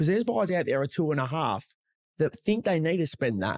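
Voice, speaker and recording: Speaking at a fairly quick pace in an Australian accent, a man with a fairly high pitch comes through with a dry, close sound with no echo on a very clean recording with a silent background. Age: 40s. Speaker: real estate agent. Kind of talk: casual chat.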